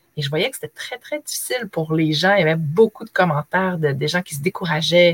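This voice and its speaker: A woman speaks with a fairly low pitch and a somewhat breathy quality. The sound is dry and close, with no echo. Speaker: former teacher, online trainer. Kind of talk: interview.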